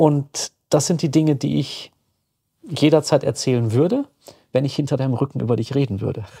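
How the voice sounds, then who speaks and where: With long, frequent pauses at a moderate pace, a man speaks in a dark, mellow tone at a fairly high pitch, using vocal fry and ordinary pitch variation, in a dry, close sound with no echo on a very clean recording with a silent background. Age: 50s. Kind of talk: casual chat.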